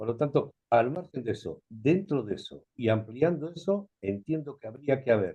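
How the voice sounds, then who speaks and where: A man's medium-pitched, somewhat breathy voice at a moderate pace, with lively intonation, big swings in loudness and hardly any pauses. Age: 70s. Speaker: videoconference participant. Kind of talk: open discussion comment. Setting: video call.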